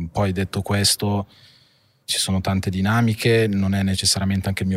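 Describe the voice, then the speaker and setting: On a very clean recording with a silent background, a man's dry, close voice with no echo moves at a fairly quick pace in a monotone, flat delivery. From northern Italy, Monza (Brianza). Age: 30s. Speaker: family business executive. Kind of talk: interview. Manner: halting.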